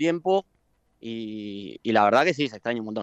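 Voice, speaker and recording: Here is a man with an unremarkable speaking voice and lively intonation. He talks at a moderate pace. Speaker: cook. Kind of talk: interview.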